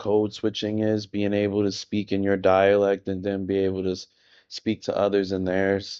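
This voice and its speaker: A man's fairly low voice at a moderate pace. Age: adult. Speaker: video podcaster. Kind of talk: casual monologue. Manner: monotone.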